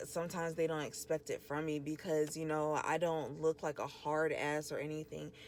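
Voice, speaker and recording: Soft-spoken, a woman talks in a very deep, low pitch with fairly even intonation. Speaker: podcast host and small business owner. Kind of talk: casual monologue. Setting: in a car. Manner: casual, filler-heavy.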